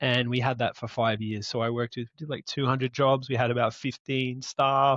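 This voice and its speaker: A man with an Australian accent is heard in a dry, close sound with no echo against a quiet background. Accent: Australian, noticeable. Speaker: entrepreneur. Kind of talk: interview conversation.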